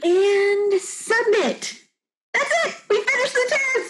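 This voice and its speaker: A woman uses a squeaky, put-on character voice at an extremely high pitch, speaking at a fairly slow pace. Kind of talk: scripted acting dialogue. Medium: comedy sketch. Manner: brisk, organized. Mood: excited.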